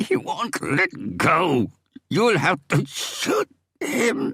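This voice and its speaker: A man whispers in a put-on character voice, hoarse and strained. He goes at a very slow pace, with a dry, close sound and no echo. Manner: urgent, desperate whisper.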